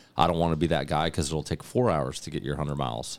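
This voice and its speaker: Heavy vocal fry marks a man's very deep, low voice on a very clean recording with a silent background. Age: 30s. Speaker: army veteran podcast co-host. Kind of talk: casual storytelling.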